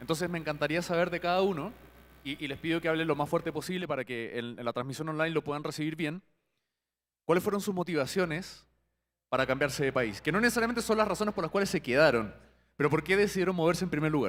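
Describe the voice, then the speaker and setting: Speaking at a very fast pace, a man has a fairly high voice. His pitch varies in an ordinary way. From Chile. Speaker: company CEO, panel moderator. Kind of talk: panel discussion moderation.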